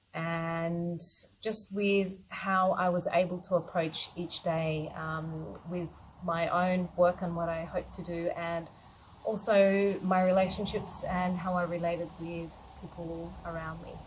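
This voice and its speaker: Speaking very slowly with an Australian accent, a woman keeps a fairly low pitch and monotone, flat intonation. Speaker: yoga teacher. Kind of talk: personal talk to camera.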